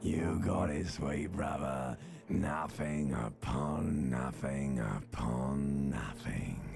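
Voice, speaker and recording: A man puts on a husky, gravelly character voice at a very slow pace. Clear music plays in the background. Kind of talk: video game voice acting. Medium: game stream. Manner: slow, hypnotic, menacing.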